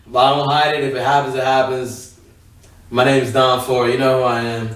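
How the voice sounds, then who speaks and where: Over audible room echo, a man talks at a fairly quick pace in a monotone, flat intonation. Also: medium pitch for a man. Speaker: podcast co-host. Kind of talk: casual chat.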